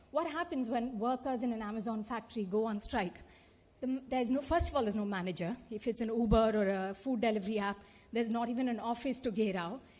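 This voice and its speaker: A woman with a Telugu accent speaks at high pitch and a fairly quick pace with lively intonation. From India (Telugu-speaking). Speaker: activist and conference panelist. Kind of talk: panel talk. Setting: conference auditorium. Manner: animated.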